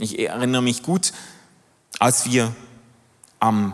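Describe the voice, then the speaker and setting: The man's voice sits at a medium pitch. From Switzerland, Basel. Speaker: pastor and theologian. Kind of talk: sermon.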